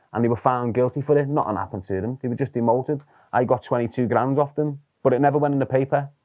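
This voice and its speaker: At a very fast pace, a man with a Liverpool accent keeps a fairly even intonation. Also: medium pitch for a man. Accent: Liverpool (Scouse). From Liverpool, England. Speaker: former gang member. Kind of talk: interview storytelling.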